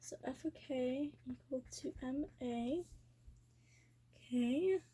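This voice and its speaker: Soft-spoken and very slow, a woman talks in a high voice with a dark, mellow tone and ordinary pitch variation. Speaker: physics tutor. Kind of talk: tutorial. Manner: halting.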